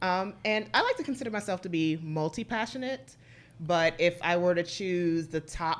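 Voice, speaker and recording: A woman with an unremarkable speaking voice talks at a moderate pace, pitched fairly low with ordinary pitch variation. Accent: American. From Washington DC. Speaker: relationship expert. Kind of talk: podcast interview.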